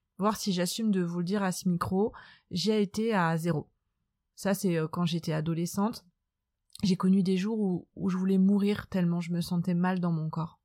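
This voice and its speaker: Heard in a very clean recording with a silent background, a woman speaks at a moderate pace and medium pitch in a dark, mellow tone, with monotone, flat intonation and very even loudness. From France, Nantes. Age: 30s. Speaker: podcast host. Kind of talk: personal monologue.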